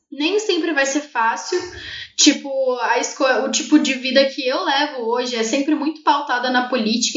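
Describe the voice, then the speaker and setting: Against noticeable background noise, a woman talks at a moderate pace in a high voice with ordinary pitch variation. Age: 20s. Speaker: activist and poet. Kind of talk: casual interview chat.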